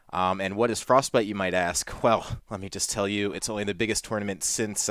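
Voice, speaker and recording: A man with a normal speaking voice and a fairly low pitch talks at a fairly quick pace. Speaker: podcast host. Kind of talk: casual podcast talk.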